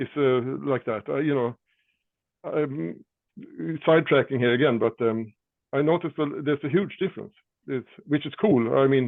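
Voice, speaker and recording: At a moderate pace, a man with a fairly high pitch and ordinary pitch variation speaks with long, frequent pauses. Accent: Swedish. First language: Swedish. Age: 60s. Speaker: rock drummer. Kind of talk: casual chat. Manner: halting.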